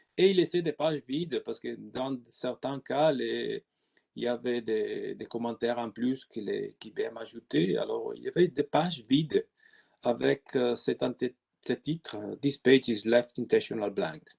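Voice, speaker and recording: In a dry, close recording with no echo, a man with an Italian accent speaks with big swings in loudness. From Italy. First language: Italian (speaking French). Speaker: IT consultant. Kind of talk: webinar presentation. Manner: halting.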